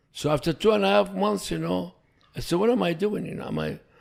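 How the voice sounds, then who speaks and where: A man with an Iraqi accent at a fairly high pitch, very wide pitch swings and a moderate pace. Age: 70s. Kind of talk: podcast interview answer.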